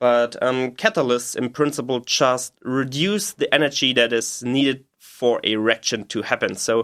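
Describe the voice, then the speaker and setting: Speaking in a German accent at a medium pitch, a man barely pauses, and his pitch varies in an ordinary way. The recording is very clean, with a silent background and a dry, close sound with no echo. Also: moderate pace. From Germany, Bavaria (Munich suburbs). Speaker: PhD chemistry researcher. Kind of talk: interview explanation. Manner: halting, many fillers.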